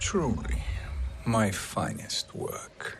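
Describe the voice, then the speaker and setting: Background noise can be clearly heard. Over it, a man puts on a character voice. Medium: video game. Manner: smug, sly.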